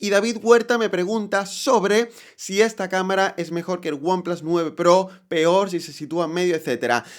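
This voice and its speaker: On a very clean recording with a silent background, a man with a high pitch talks at a moderate pace with hardly any pauses, his loudness swinging widely while his pitch varies in an ordinary way. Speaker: tech youtuber. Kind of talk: product review. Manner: conversational.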